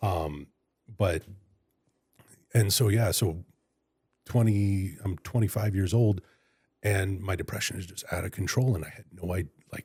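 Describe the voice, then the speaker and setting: Somewhat breathy and fairly low in pitch, a man with an American accent speaks at a moderate pace, leaving long, frequent pauses. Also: ordinary pitch variation, big swings in loudness. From California (Fresno). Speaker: public defender and county attorney candidate. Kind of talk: interview. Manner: halting.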